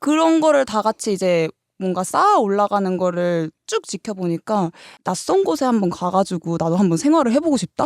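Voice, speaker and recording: A woman at a medium pitch and moderate pace, with very wide pitch swings and very even loudness, in a dry, close, echo-free and very clean recording with a silent background. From Sokcho, Gangwon Province, Korea. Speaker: actor. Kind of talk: casual chat.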